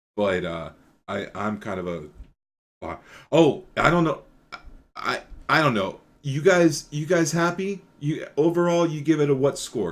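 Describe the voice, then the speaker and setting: A man with a fairly high voice talks at a fairly slow pace, his pitch swinging very widely. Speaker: podcast host. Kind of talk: casual chat. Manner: loud.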